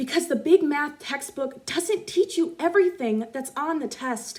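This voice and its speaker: A woman speaks loudly. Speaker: spoken word poet. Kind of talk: spoken word poetry performance.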